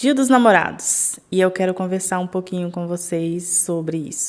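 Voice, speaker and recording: A woman is speaking. Her pitch is medium. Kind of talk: casual vlog talk.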